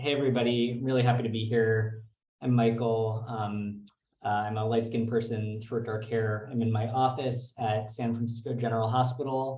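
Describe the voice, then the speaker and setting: A man's somewhat breathy voice at medium pitch comes through with monotone, flat intonation and audible room echo. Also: moderate pace. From New York. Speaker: physician and researcher. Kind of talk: lecture. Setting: video call from office.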